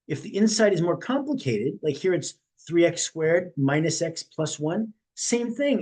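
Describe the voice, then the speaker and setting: High pitch for a man, with very wide pitch swings. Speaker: math teacher. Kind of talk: tutorial. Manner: fast.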